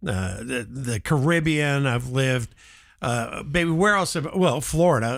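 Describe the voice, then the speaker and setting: The speaker talks at a fairly slow pace with lively intonation in a very clean recording with a silent background. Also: man, fairly high pitch for a man. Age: 60s. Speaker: live show host. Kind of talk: casual chat. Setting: live stream. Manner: halting.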